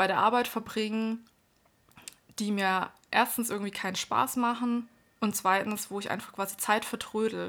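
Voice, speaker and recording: The recording is very clean with a silent background. A woman speaks in a monotone, flat intonation. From Baden-Württemberg, Germany. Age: 30s. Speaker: podcast co-host, self-employed entrepreneur. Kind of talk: casual chat.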